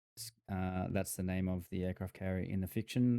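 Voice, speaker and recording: With an Australian accent, a man speaks at a fairly quick pace in a fairly low pitch, his tone dark and mellow and the sound dry and close with no echo. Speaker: gaming YouTuber. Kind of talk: casual gameplay commentary. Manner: halting.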